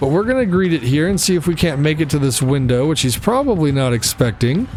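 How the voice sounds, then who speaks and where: A man talking at a very fast pace, lively intonation and very even loudness, with noticeable background noise. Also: fairly high pitch for a man. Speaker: gaming youtuber. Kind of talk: gameplay commentary. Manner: casual, conversational; occasional stutter.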